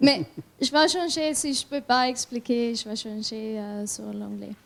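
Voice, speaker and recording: A high-pitched woman's voice with a German accent and ordinary pitch variation. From Italy. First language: German (speaking French). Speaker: skeleton athlete. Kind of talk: panel discussion. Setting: conference with audience. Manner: halting.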